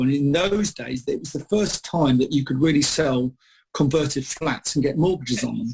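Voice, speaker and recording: In an English accent, a man with a fairly high pitch talks at a fairly quick pace, sounding somewhat breathy. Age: 50s. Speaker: property expert. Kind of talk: radio interview. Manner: halting.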